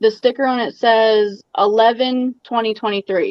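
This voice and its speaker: Fairly slow and fairly even in intonation, a woman with a Baltimore accent speaks at a fairly high pitch. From Maryland, Baltimore. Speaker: aquarium hobby youtuber, guest. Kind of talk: casual livestream chat.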